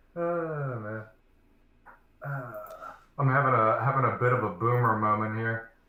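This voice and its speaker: Long, frequent pauses break up a man's medium-pitched speech. His pitch varies in an ordinary way, and the room echo is audible. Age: 20s. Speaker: streamer. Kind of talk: casual chat.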